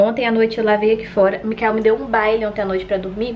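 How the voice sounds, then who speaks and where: A woman talking at a fairly quick pace over light background noise. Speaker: family vlogger. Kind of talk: casual vlog chat. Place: kitchen. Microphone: phone near.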